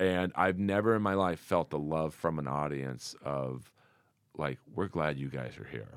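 In a very clean recording against a silent background, a man speaks at a moderate pace with lively intonation. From US West Coast, Los Angeles. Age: 50s. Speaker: comedian. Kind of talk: casual chat. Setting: studio.

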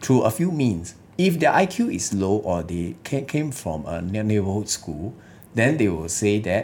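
A man speaks with lively intonation, a somewhat breathy quality and a fairly low pitch. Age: 30s. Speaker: lawyer and political party leader. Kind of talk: political interview. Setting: studio.

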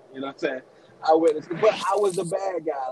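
A man with an American accent at a very fast pace, amid noticeable background noise. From Maryland, then Goldsboro, North Carolina from age 12. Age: 30s. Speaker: podcast guest, father. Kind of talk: casual chat.

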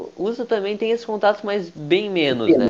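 A man's high-pitched voice with lively intonation. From Brazil. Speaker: podcast host. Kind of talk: casual chat.

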